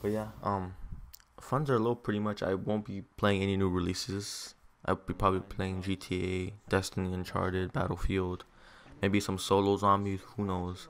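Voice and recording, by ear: At a moderate pace, a man speaks in a low voice with little pitch movement.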